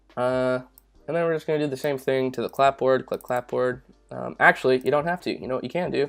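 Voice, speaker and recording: A man uses a normal speaking voice at medium pitch with fairly even intonation. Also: very clean recording, silent background. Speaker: YouTube tutorial creator. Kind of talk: tutorial. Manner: casual with many fillers.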